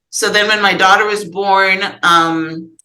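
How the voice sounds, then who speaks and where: A woman with a Guyanese accent speaks in a medium pitch with ordinary pitch variation, and audible room echo surrounds her voice. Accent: Guyanese Caribbean English. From Guyana. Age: 60s. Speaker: author and podcast guest. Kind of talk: therapy session conversation. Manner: halting.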